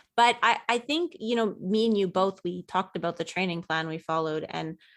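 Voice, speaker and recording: Recorded very cleanly over a silent background, a woman with an unremarkable speaking voice talks at a moderate pace in a medium pitch with ordinary pitch variation. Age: young. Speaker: running podcast co-host. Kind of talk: casual chat.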